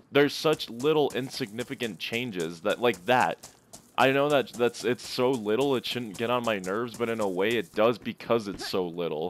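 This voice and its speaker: Music plays in the background as a man speaks in an animated tone. His pace is moderate, with ordinary pitch variation. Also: medium pitch for a man. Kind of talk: angry gaming rant, ranting while playing. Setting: gameplay commentary, talking while playing. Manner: animated, exasperated, complaining loudly.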